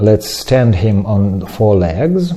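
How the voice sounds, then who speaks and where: His voice somewhat breathy and dark, mellow in tone, a man speaks with very wide pitch swings. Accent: non-native. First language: not English. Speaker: ceramics teacher. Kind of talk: tutorial. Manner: halting.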